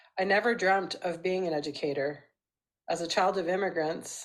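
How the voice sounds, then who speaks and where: A woman at a moderate pace, fairly low in pitch, with a Canadian accent and fairly even intonation. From Vancouver, Canada. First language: Portuguese. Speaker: educator and family counselor. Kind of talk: recorded presentation.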